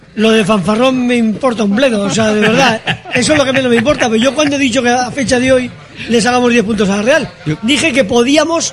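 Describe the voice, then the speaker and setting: Over noticeable background noise and audible room echo, a man talks at a very fast pace with an animated tone. His pitch is extremely high, with ordinary pitch variation and very even loudness. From Bilbao, Basque Country. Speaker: café owner. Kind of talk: casual chat. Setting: café.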